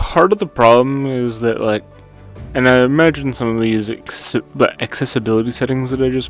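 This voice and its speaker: Music plays in the background as a man speaks. His pitch varies in an ordinary way. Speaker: game reviewer. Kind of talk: game review voiceover. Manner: casual, rambling.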